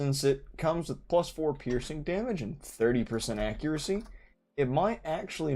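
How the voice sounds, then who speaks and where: Lively intonation from a man with a dark, mellow tone. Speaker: gaming streamer. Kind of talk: casual live-stream commentary. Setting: live stream. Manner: mumbling when relaxed.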